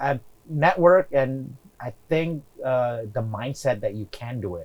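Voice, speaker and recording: A man speaks at a medium pitch with lively intonation. His voice is somewhat breathy. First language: not English. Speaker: real estate investor. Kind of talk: interview.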